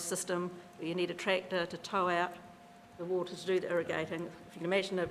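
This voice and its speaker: A woman with a New Zealand accent talks at a very fast pace in a medium pitch. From New Zealand, South Canterbury. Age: 50s. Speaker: farmer. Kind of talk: casual explanation; public hearing submission, reading prepared statement.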